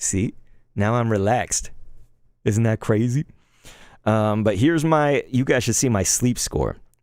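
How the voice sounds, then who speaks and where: In a very clean recording with a silent background, a man speaks fairly slowly at a medium pitch, with an animated tone, ordinary pitch variation, very even loudness and long, frequent pauses. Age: 30s. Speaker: gaming streamer. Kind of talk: casual live stream chat.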